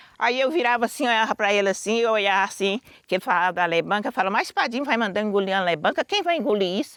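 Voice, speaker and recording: A woman talks at a very fast pace. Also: very even loudness. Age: 60s. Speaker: quilombo elder. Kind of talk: testimony.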